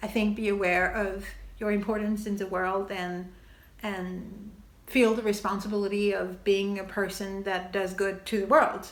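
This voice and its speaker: A French accent at a moderate pace, monotone and flat in intonation, with audible room echo. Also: woman, medium pitch for a woman. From France. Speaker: TV maker and video essayist. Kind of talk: video essay monologue. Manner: casual, with hesitations.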